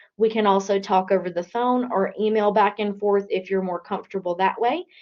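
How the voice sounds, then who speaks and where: A woman talks at a fairly quick pace in a plain, everyday voice. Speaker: career services specialist. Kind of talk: online workshop presentation.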